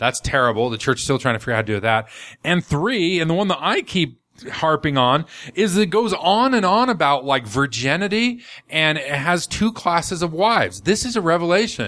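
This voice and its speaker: A man speaks at a fairly quick pace in a bright, sharp tone, his pitch swinging very widely. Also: fairly high pitch for a man. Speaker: podcast host. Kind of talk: casual chat. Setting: studio. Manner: humorous, filler-heavy.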